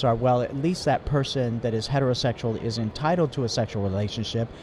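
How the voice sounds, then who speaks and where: A man's normal speaking voice at a fairly quick pace, with fairly even intonation. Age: 60s. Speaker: ministry worker. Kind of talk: testimony. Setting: mobile studio in convention exhibit hall.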